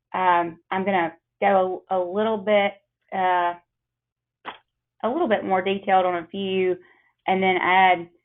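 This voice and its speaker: A woman with a Mississippi accent at medium pitch, flat and monotone, fairly slow, with long, frequent pauses. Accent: Southern US, Mississippi. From US South, Mississippi. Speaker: attorney. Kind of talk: webinar presentation. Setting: webinar call.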